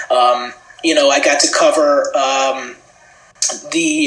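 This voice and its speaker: Audible room echo and noticeable background noise fill the recording. The man talks in an American accent. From US, Washington D.C. suburbs (Maryland). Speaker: sports TV producer. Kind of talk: podcast interview.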